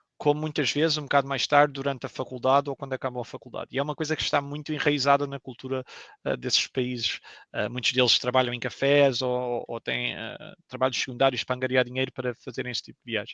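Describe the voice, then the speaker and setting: A man talks very fast in a monotone, flat intonation at medium pitch, with a bright, sharp tone. The sound is dry and close with no echo, over a quiet background. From Portugal. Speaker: video game professional. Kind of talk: interview. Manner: hesitant, many fillers.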